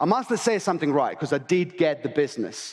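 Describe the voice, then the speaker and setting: This man has a high pitch and a non-native accent. He talks in an animated tone at a fairly quick pace. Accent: noticeable non-native. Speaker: real estate agent. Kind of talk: conference keynote. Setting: stage with audience. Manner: fast.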